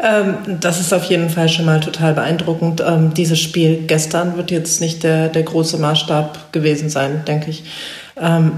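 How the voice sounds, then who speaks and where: A woman's fairly low voice in a flat monotone at a moderate pace, with audible room echo and noticeable background noise. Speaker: sports reporter. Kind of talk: casual football analysis chat.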